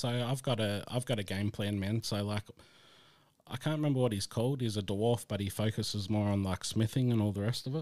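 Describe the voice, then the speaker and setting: A man's fairly low, plain, everyday voice at a fairly quick pace, with fairly even intonation. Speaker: podcast co-host. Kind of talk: casual podcast chat. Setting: online call.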